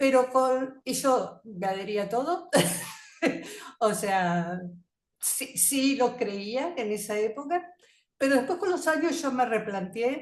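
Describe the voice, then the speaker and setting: A woman with a high voice and lively intonation, speaking very slowly with long, frequent pauses. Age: 60s. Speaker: participant. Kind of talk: audience comment.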